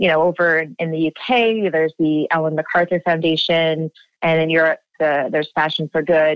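A woman's unremarkable speaking voice, fairly low in pitch, at a moderate pace with fairly even intonation and very even loudness. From Canada, Ontario (near Toronto). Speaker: nonprofit founder and director. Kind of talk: interview.

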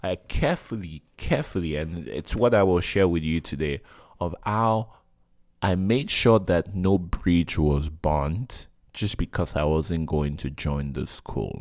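Over a silent background on a very clean recording, a man speaks at a fairly slow pace in a very deep, low pitch with ordinary pitch variation. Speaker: podcast host. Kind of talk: solo monologue. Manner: direct and forceful; halting.

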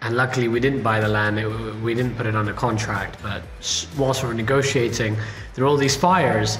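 A man's medium-pitched voice comes through noticeable background noise, with audible room echo. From Indian heritage. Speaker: podcast host and venture capitalist. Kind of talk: casual interview.

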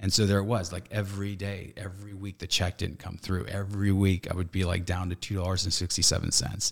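A man with an American accent speaks very fast in a very deep, low voice. His intonation is flat and monotone, on a very clean recording with a silent background. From Northern California. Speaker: actor, director and relationship coach. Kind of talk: casual interview chat.

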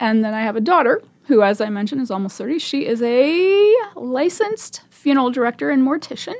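Fairly quick speech from a woman with a Midwestern accent, high in pitch with very wide pitch swings. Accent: General American (Midwest). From Nebraska (Omaha). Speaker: volunteer radio reader. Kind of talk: radio interview. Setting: studio. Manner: fast.

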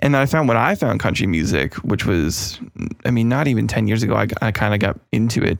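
This man talks at a very fast pace with lively intonation. His voice sits at a fairly low pitch and carries vocal fry. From Canada. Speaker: podcast host and music producer. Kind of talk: casual interview chat.

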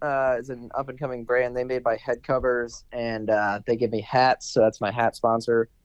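A man with an American accent talks in a normal speaking voice. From Maryland, near Washington D.C. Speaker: professional golfer. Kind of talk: casual chat.

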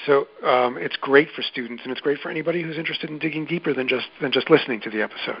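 A man with a New York accent at a very fast pace, with ordinary pitch variation and noticeable background noise. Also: fairly high pitch for a man, hardly any pauses, big swings in loudness. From New York City, Queens. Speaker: journalist and podcast producer. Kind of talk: interview.

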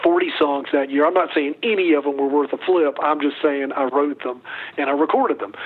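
Noticeable noise sits in the background. Over it, the man speaks at a fairly quick pace. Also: fairly high pitch for a man, fairly even intonation. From US South, North Carolina. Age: 60s. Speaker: singer-songwriter. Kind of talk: interview.

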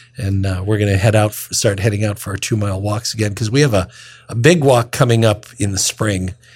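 A somewhat breathy man at a fairly low pitch, fairly quick in pace, with fairly even intonation. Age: 60s. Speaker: deacon and radio host. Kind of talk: radio talk on scripture readings.

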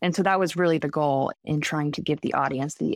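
Her pitch is very deep and low for a woman. Her speech carries vocal fry. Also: dry, close sound with no echo, very clean recording, silent background. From Vermont. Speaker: documentary filmmaker. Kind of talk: interview.

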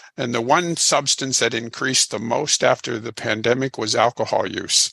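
The tone is bright and sharp, with an American accent. The sound is dry and close with no echo. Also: man. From Illinois. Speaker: addiction counselor and author. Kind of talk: interview.

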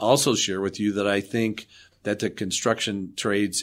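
A man with a plain, everyday voice talks at a fairly low pitch and moderate pace with fairly even intonation, in a very clean recording with a silent background. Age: 60s. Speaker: architect and development authority CEO. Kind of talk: interview.

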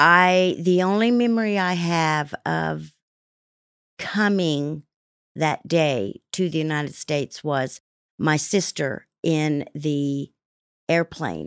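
The speaker has a Midwestern American accent and a very slow pace with long, frequent pauses. Pitch varies in an ordinary way, and the recording is very clean with a silent background. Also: woman. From Kansas, US. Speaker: guest sharing recovery story. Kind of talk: testimony. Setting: studio. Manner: halting.

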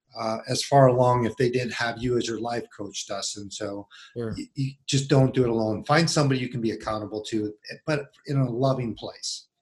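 A man talks at a fairly slow pace in a somewhat breathy voice with fairly even intonation. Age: 50s. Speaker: men's ministry coach. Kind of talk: casual interview.

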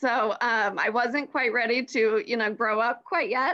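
Raising and projecting her voice, a woman with an American accent speaks at a moderate pace with ordinary pitch variation. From US South, Atlanta area (Georgia). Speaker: marketing manager. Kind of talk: casual interview.

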